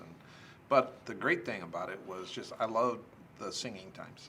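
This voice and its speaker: With an American accent, a man speaks at a moderate pace and with lively intonation as noticeable background noise carries on behind him. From US Midwest, Omaha, Nebraska. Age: 60s. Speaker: former youth pastor. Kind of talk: casual interview.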